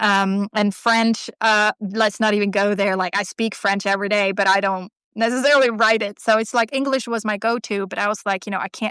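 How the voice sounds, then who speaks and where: In a Swedish accent, a woman speaks at a fairly quick pace with hardly any pauses, a medium pitch and a bright, sharp tone in monotone, flat intonation. The sound is dry and close with no echo, a very clean recording with a silent background. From Sweden. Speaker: artist and writer. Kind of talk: casual interview chat. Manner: halting, many fillers and restarts.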